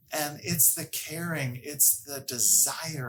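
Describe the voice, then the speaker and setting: This man has a bright, sharp tone and a slight Massachusetts accent. He talks at a fairly slow pace with ordinary pitch variation. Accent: slight Massachusetts accent on certain words. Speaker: workplace happiness coach. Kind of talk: educational talk to camera.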